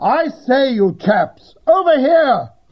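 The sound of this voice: Using a put-on character voice, a man speaks at a slow pace with an extremely high pitch and big pitch swings.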